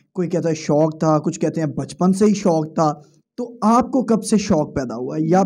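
With a dark, mellow tone and ordinary pitch variation, the voice moves at a moderate pace over a quiet background. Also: man. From Pakistan. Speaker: interviewer. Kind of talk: interview. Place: home room. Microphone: handheld.

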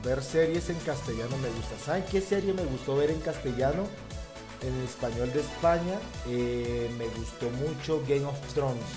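Clear music plays behind a man speaking. His pitch is medium and his intonation is lively. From Colombia. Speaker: YouTube reactor. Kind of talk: casual reaction talk to camera. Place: home room. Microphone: headset.

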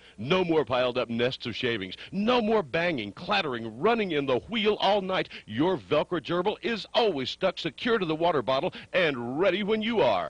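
A man's high, upbeat voice with very wide pitch swings and hardly any pauses, in a dry, close sound with no echo. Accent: American. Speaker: radio personality and actor. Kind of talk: 1980s-style infomercial announcer read, comedic. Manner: upbeat, fast-paced, salesy, tongue-in-cheek.

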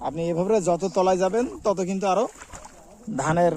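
A high-pitched man with ordinary pitch variation against noticeable background noise. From Bangladesh, border area near the Sonai river. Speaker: village life vlogger. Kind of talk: walking video tour, addressing viewers. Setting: outdoors in rice fields.

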